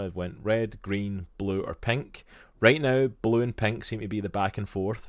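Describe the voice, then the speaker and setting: A man speaks with a fairly low pitch, at a moderate pace, and his intonation stays fairly even. The recording is very clean, with a silent background. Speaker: streamer and podcast co-host. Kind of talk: casual chat. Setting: live stream.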